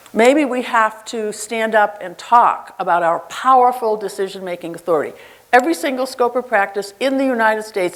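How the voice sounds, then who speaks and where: At a fairly quick pace, a woman talks with a fairly high pitch and ordinary pitch variation over noticeable background noise. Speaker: nurse leader. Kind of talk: conference keynote speech. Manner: animated.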